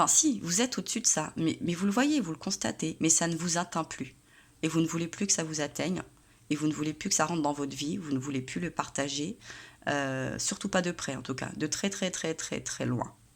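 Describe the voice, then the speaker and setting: A soft-spoken woman with a very deep, low pitch talks at a moderate pace. Her intonation is lively, and the recording is very clean over a silent background. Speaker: tarot reader. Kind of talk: tarot reading monologue. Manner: hesitant with many fillers.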